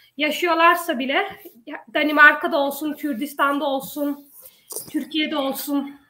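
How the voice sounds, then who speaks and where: In a raised, projected voice with a bright, sharp tone, a woman speaks fairly slowly at a high pitch, her intonation fairly even. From Denmark, Odense. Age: 20s. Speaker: local election candidate. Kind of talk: panel discussion.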